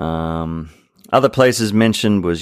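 On a very clean recording with a silent background and a dry, close sound with no echo, a man with an Australian accent speaks at a fairly slow pace. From Sydney, Australia. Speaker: podcast co-host. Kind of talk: casual chat.

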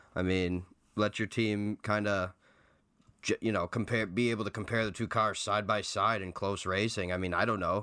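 A man speaks in a fairly low, bright and sharp voice with a flat, monotone delivery and a deadpan tone, recorded very cleanly against a silent background. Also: moderate pace. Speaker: podcast co-host. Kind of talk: casual chat. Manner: joking, deadpan.

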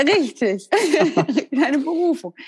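This woman has a plain, everyday voice. She moves at a moderate pace with lively intonation. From northern Germany (Westerkappeln). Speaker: podcast host. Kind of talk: interview.

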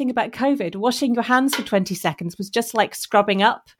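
The speaker has a normal speaking voice, ordinary pitch variation and a fairly quick pace. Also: woman. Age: 40s. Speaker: surgeon. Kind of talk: casual chat.

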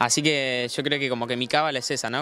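A man speaks in a Rioplatense accent. His tone is bright and sharp, his intonation fairly even. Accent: Argentine Rioplatense Spanish. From Argentina, Buenos Aires province (Lobería). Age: 20s. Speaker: freestyle rapper. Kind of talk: casual interview.

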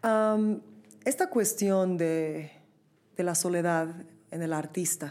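With a dark, mellow tone and ordinary pitch variation, a woman speaks at a very slow pace with long, frequent pauses in a very clean recording with a silent background. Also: fairly low pitch for a woman. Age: young. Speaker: podcast host and opera singer. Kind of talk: interview.

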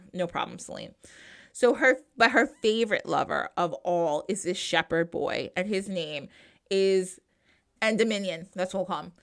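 Very clean recording, silent background. At a moderate pace, a woman talks with an American accent. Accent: New Jersey, noticeable when excited. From New Jersey. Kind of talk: casual interview and solo segments.

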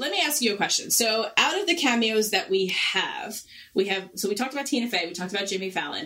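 A woman with a Long Island accent, fairly high in pitch, very fast and lively in intonation, over noticeable background noise. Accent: Long Island New York. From Long Island, New York. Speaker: podcast host. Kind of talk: casual chat, show review.

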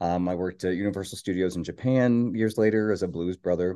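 A man with an American accent, lively intonation and a dark, mellow tone, over a quiet background. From US Midwest, Northern Kentucky. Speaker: performer and talent agent. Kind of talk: casual chat. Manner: animated.

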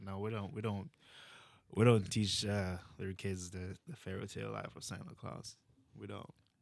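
A man with a Jamaican accent, fairly low in pitch, with ordinary pitch variation and a moderate pace. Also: big swings in loudness. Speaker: immigrant guest. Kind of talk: casual interview.

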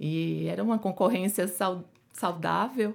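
In a very clean recording with a silent background, a woman with a Pernambuco accent speaks at a very slow pace in a medium pitch. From Pernambuco, Brazil. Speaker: endocrinologist. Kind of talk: interview.

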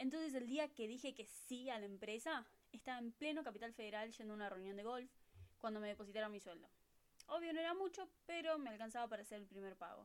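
The speaker has a Rioplatense accent and a fairly quick pace. The intonation is lively. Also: woman. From Buenos Aires, Argentina. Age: 20s. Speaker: au pair podcast host. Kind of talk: casual monologue.

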